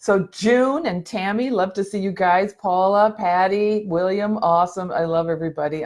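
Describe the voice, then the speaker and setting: With a very clean recording and a silent background, a woman speaks at a moderate pace in a fairly low pitch. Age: 60s. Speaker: mental health motivational speaker. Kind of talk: live video chat. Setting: live video stream. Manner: casual, halting.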